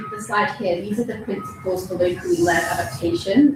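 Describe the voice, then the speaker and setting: With audible room echo and music in the background, the speaker talks at a fairly quick pace with lively intonation. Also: woman. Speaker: researcher at a development institute. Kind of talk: conference talk.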